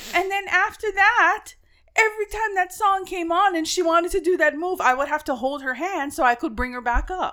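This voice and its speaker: Projecting her voice loudly, a woman speaks at an extremely high pitch in a bright, sharp tone with lively intonation. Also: moderate pace. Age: middle-aged. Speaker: podcast co-host. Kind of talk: casual chat.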